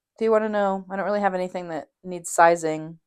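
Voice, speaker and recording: A woman keeps fairly even intonation on a very clean recording with a silent background. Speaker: knitting podcaster. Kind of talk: casual vlog monologue. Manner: casual, many fillers.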